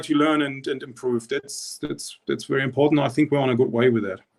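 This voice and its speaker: A man is speaking. He has a German accent. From East Germany. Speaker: rowing coach. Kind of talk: interview. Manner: halting, many repetitions.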